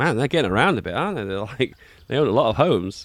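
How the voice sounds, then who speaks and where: A man with a British accent talks very fast with vocal fry, in a very clean recording with a silent background. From Britain. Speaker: streamer reacting to videos. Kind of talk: reaction commentary. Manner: animated.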